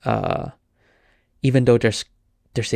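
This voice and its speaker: A man with a Cantonese accent speaks in a monotone, flat intonation. The sound is dry and close with no echo, a very clean recording with a silent background. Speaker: podcast host, filmmaker. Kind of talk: casual solo podcast talk. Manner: halting, many fillers and restarts.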